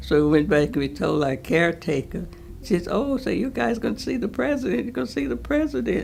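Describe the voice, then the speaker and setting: A woman with an American accent talks at a moderate pace. Noticeable background noise can be heard. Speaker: elder sharing memories. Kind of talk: oral history interview.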